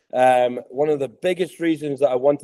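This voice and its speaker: A man's fairly high, dark and mellow voice with fairly even intonation. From Scotland. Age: 30s. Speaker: podcast host, tennis coach. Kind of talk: interview podcast.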